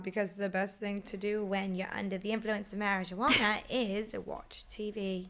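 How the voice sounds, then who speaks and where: A put-on character voice from a woman, raspy and at medium pitch, monotone and flat at a moderate pace, over clear background noise. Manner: putting on an accent while giving the recommendation.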